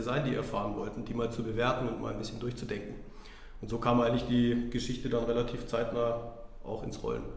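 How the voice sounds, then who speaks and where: There is audible room echo and noticeable background noise. A man talks at a very fast pace with a medium pitch. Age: 30s. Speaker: business development consultant. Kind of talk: casual interview.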